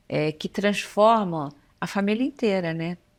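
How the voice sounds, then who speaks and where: In a very clean recording with total silence behind her, a woman talks at a medium pitch. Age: 60s. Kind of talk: casual interview chat.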